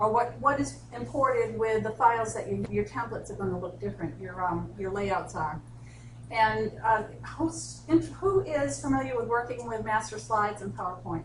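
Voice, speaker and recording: The speaker has a Boston accent and a moderate pace. Audible room echo and noticeable background noise come through. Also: woman. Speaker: instructional designer, software trainer. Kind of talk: software tutorial workshop.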